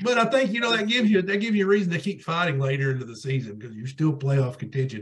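Very fast and fairly high-pitched, a man speaks with very wide pitch swings and big swings in loudness. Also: hardly any pauses. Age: 40s. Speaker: podcast co-host, sports talk; podcast co-host. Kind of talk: casual chat. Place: home room. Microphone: video call.

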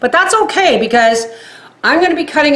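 A woman's voice with audible room echo. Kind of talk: tutorial. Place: kitchen. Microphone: camera far.

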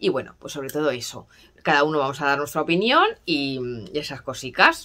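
A woman talks at a moderate pace. Her pitch is very deep and low. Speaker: perfume vlogger. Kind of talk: casual vlog chat. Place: home room. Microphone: phone near.

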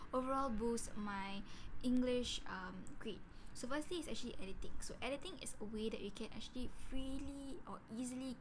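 Against noticeable background noise, a woman talks at a moderate pace in a high voice with ordinary pitch variation. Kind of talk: casual vlog chat. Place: home room.

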